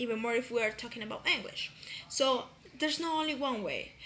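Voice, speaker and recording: Her voice high-pitched with a bright, sharp tone, a woman speaks with a Spanish accent. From Colombia, Pereira. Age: 20s. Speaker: university student. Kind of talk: class presentation. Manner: halting, many fillers.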